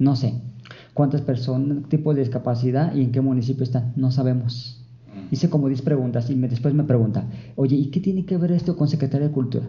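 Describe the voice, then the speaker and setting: A man speaks at medium pitch in a somewhat breathy voice at a fairly quick pace. His intonation is fairly even and his loudness very even. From Jalisco, Mexico. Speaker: librarian for the visually impaired, blind. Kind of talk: interview. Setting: library studio.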